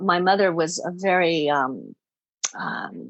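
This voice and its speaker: A woman with an ordinary speaking voice, fairly low in pitch, with ordinary pitch variation. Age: 60s. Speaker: spiritual teacher. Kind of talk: interview. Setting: podcast.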